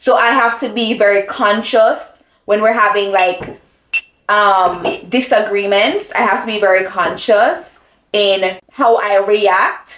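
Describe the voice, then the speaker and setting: A woman speaks very slowly. Her voice sits at a medium pitch with ordinary variation. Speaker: lifestyle vlogger. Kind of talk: casual chat. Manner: loud when passionate.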